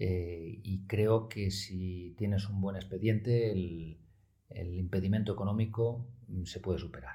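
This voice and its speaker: A man speaks at a very slow pace in a fairly low pitch with fairly even intonation. His tone is dark and mellow, and somewhat breathy. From Oviedo, Asturias, Spain. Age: 40s. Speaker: media executive. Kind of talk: interview.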